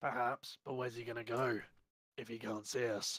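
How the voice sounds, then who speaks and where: A man puts on a raspy character voice at medium pitch. He keeps a moderate pace. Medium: actual play.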